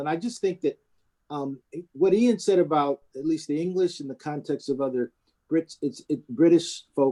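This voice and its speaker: With an American accent and a dark, mellow tone, a man speaks at a fairly high pitch and moderate pace, the sound dry and close with no echo. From USA. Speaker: priest. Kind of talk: panel discussion. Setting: video call. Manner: halting.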